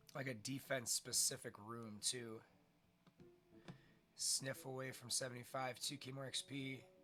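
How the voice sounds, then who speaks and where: Music plays behind a man speaking at a moderate pace and medium pitch. His intonation is fairly even, broken by long, frequent pauses. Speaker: gaming streamer. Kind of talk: let's play commentary. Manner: casual, chatty.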